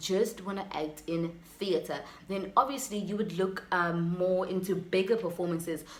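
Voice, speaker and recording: A woman's medium-pitched voice at a moderate pace, ordinary pitch variation, audible room echo and noticeable background noise. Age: 20s. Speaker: YouTuber and aspiring actress. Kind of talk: casual vlog advice talk.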